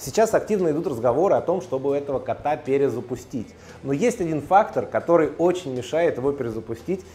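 A man with lively intonation against light background noise. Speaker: storyteller host. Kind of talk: casual storytelling monologue. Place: shop.

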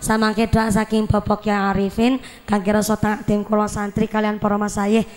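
Fairly high female speech at a fairly quick pace amid noticeable background noise. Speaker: preacher. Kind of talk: humorous sermon.

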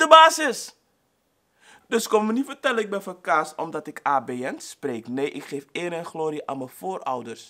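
Against a quiet background, a man with a high voice speaks at a fairly slow pace in an animated, bright, sharp tone. His pitch swings very widely and his loudness swings a lot. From Suriname, raised in the Netherlands. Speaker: YouTuber. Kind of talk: vlog monologue. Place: home room.

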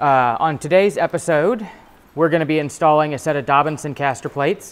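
A man keeps an ordinary amount of pitch movement while talking at a moderate pace. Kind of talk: tutorial. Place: garage. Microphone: phone near.

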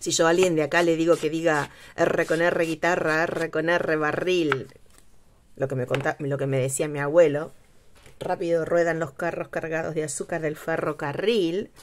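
A woman with a Spanish accent talks at a fairly slow pace and a very deep, low pitch, with light background noise. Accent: Spanish accent in English, rolled R. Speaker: craft youtuber. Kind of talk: craft tutorial. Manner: casual, hesitant with fillers. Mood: relaxed, chatty.

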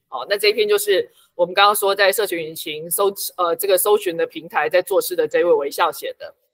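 A woman in a Taiwanese accent, fairly quick, with big swings in loudness, over a quiet background. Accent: Taiwanese Mandarin. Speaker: book editor and local activist. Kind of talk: interview.

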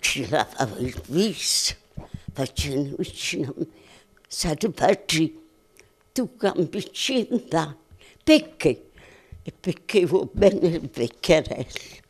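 Against a quiet background, a somewhat breathy woman with a fairly low pitch talks very slowly, leaving long, frequent pauses as her pitch swings very widely. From Montella, province of Avellino, Italy. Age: 80s+. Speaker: centenarian being interviewed. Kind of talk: interview answer. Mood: warm, reminiscing. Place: home room. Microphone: handheld.

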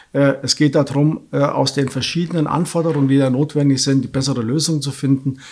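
This man's voice is fairly high-pitched and somewhat breathy. He speaks at a moderate pace. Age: 60s. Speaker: local election candidate; election candidate. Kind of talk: candidate interview; interview answer. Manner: hesitant fillers. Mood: firm, slightly dismissive. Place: studio.

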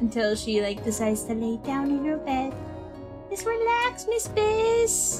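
Clear music plays in the background as a woman speaks at a very slow pace. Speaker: vtuber streamer. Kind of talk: casual stream chat. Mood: cheerful, playful. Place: home room.

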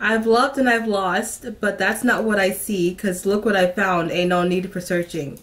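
This woman talks at a fairly slow pace with a medium pitch. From Brooklyn, New York; raised in New Jersey. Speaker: lifestyle YouTuber. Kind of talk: casual talk to camera, music reaction. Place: home room. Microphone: phone near.

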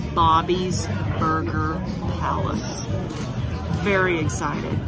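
With loud music in the background, a woman talks fairly slowly. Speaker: food vlogger. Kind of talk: casual vlog chat. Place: cafe. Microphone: phone near.

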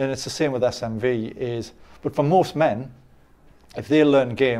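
The man speaks with an English accent. His tone is dark and mellow, and his intonation fairly even. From England. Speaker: dating coach. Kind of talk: interview. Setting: conference. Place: studio. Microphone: lapel.

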